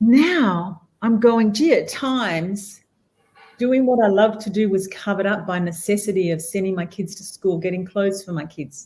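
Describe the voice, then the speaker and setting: A woman with an Australian accent talks at medium pitch with ordinary pitch variation. Her loudness swings widely. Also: moderate pace. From Western Australia, rural wheat belt. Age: 60s. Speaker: guest speaker, entrepreneur. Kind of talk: interview conversation.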